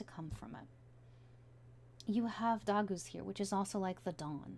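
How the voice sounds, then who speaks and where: A woman speaks at a moderate pace, somewhat breathy. Her tone is dark and mellow, with very wide pitch swings. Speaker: tarot reader. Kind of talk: tarot reading. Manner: casual.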